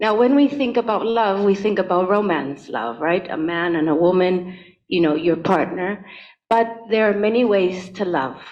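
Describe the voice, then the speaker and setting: With a Spanish accent, a woman talks at a moderate pace and a medium pitch, her intonation lively. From Spain. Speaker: conservation expert, keynote speaker. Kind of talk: keynote presentation. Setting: hybrid event, in a room.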